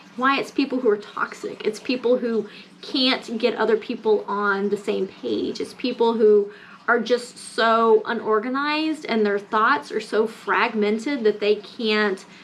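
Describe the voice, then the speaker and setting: The woman talks at a fairly slow pace. There is noticeable background noise. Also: fairly high pitch for a woman, ordinary pitch variation. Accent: American. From US South, Mississippi. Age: 30s. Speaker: lifestyle vlogger. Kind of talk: casual rant vlog. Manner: animated.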